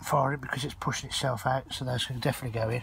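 With fairly even intonation, the voice sounds dry with no echo over light background noise. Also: man. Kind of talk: casual vlog chat. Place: garden. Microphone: phone near.

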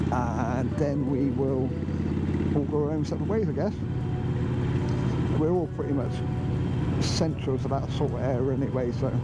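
A man talks at a moderate pace with long, frequent pauses, his voice dry with no echo over loud background noise. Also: ordinary pitch variation. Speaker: motorcycle vlogger. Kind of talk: casual vlog chat. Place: motorbike. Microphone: helmet.

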